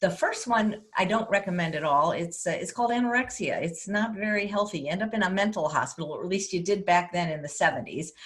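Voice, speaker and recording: A woman speaks at a very fast pace with hardly any pauses, at a medium pitch with ordinary pitch variation. Noticeable background noise can be heard. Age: 60s. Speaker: plant-based chef. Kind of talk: interview.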